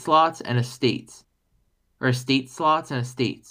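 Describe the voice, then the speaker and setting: An ordinary speaking voice with fairly even intonation, in a very clean recording with a silent background. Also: man. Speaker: podcast host. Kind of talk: casual chat.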